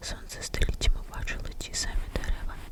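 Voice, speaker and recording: Noticeable background noise sits behind someone whispering at a moderate pace. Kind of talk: ASMR bedtime story. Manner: whispered.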